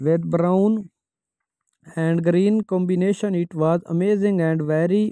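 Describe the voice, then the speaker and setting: A man with a non-native accent speaks at a fairly slow pace in a high pitch, with a dark, mellow tone, fairly even intonation and a dry, close sound without echo. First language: not English. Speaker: fashion YouTuber. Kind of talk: voiceover commentary on outfit slideshow.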